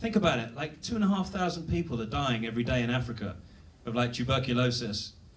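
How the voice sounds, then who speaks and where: A man talks very fast at a medium pitch, his intonation lively. Room echo is audible and there is noticeable background noise. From Britain. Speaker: stand-up comedian. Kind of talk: stand-up. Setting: stage with audience.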